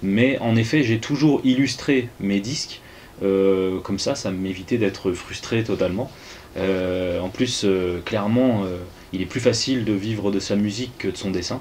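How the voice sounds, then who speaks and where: Against noticeable background noise, a man with a fairly low pitch and ordinary pitch variation speaks at a fairly slow pace. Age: 30s. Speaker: musician and comic artist. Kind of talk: interview. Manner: halting, many hesitations.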